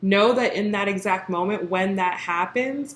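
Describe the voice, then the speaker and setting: Using a normal speaking voice, a woman talks at medium pitch and a moderate pace with ordinary pitch variation. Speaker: tarot reader. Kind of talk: tarot reading monologue.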